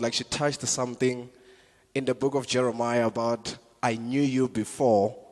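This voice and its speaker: This is a man speaking with a South African accent. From South Africa, Limpopo. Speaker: comedian. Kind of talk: stand-up. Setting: church stage with audience.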